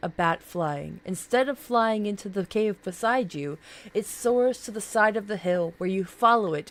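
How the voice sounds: Words come out in a natural reading voice.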